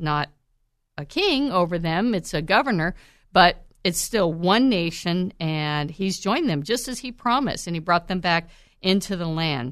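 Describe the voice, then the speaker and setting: A woman's plain, everyday voice at a medium pitch, with lively intonation and a moderate pace, over a quiet background. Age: 50s. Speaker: Bible teacher and podcast host. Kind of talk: Bible teaching monologue. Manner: conversational with filler words.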